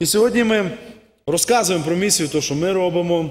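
At a moderate pace, a man speaks with high pitch and ordinary pitch variation. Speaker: visiting missionary preacher. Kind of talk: sermon and mission report. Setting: church. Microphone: podium.

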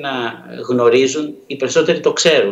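A man talks with ordinary pitch variation. Audible room echo surrounds his voice.

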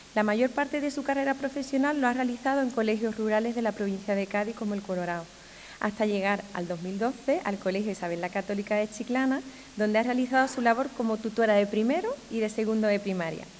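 A woman speaks very fast, with light background noise behind her. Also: fairly high pitch for a woman, ordinary pitch variation. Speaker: municipal education official presenting the ceremony; presenter. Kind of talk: ceremony presentation. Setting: stage with audience. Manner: formal. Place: hall. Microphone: podium.

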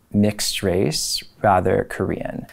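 Against a quiet background, a man with a fairly low voice speaks with an American accent. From Cleveland, Ohio, US Midwest. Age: 30s. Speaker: history professor. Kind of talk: personal testimony interview. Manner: reflective, some hesitations (um). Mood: reflective, calm. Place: studio. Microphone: lapel.

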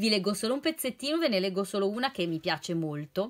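A woman speaks in a warm tone. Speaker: nutritionist and library reading advisor. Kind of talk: poetry reading aloud, intimate and sincere, after casual chatty book-recommendation talk. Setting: home video recording during lockdown. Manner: expressive, slow and emotive when reading verses; warm, friendly, conversational. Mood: warm, cheerful. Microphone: phone near.

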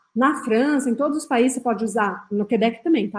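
The speaker is a woman with fairly high pitch. Her intonation is lively. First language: French (speaking Portuguese). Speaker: French teacher. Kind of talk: tutorial. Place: home room.

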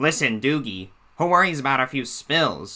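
The pitch is medium for a man. He is putting on a character voice. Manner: imitating a cartoon voice.

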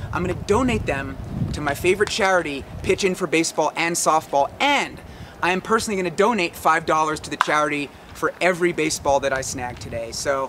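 Over noticeable background noise, a man talks at a very fast pace with ordinary pitch variation. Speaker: sports vlogger. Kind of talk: casual vlog chat. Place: stadium. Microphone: camera far.

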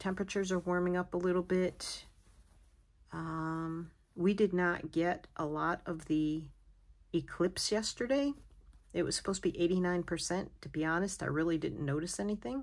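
Against a quiet background, a woman speaks with a fairly low pitch and ordinary pitch variation. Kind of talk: casual vlog chat. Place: home room. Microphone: phone near.

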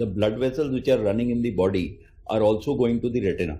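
A man talks at a fairly quick pace in a dark, mellow tone, somewhat breathy. His pitch varies in an ordinary way. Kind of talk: interview answer. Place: office. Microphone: handheld.

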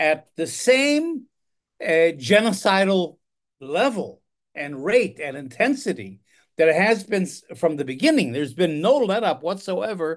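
A man speaks at a fairly slow pace with very wide pitch swings. The background is quiet. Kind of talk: political commentary monologue. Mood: concerned, reflective. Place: home room. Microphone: phone near.

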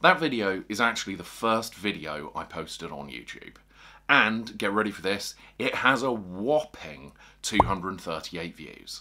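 A man with a fairly low pitch and a bright, sharp tone swings his pitch very widely. His loudness shifts a lot, over light background noise. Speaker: fishing video creator. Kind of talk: tutorial. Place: home room.

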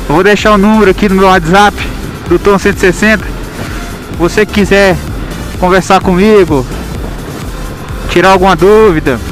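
With music playing in the background, the speech moves at a fairly slow pace, broken by long, frequent pauses. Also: dry sound with no echo. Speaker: motovlogger. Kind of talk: casual vlog chat. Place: motorbike.

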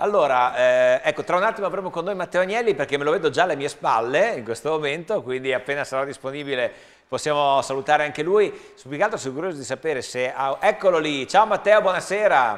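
Over a quiet background, a man rattles along at a very fast pace with lively intonation and hardly any pauses. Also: fairly high pitch for a man. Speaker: TV show host; TV sports show host. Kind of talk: live sports commentary. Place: studio. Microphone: lapel.

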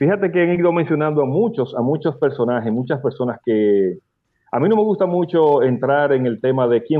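With a Dominican accent, a man speaks in a fairly high pitch with lively intonation. The background is quiet. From Dominican Republic. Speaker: radio host and bachata expert; radio host. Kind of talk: casual radio interview. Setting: radio studio. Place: home room. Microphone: video call.

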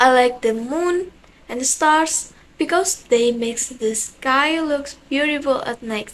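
At a very slow pace, a woman with an Indonesian accent speaks at a high pitch with ordinary pitch variation. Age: young. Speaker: university student. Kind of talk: self-introduction to camera. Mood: cheerful, friendly. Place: home room. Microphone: phone near.

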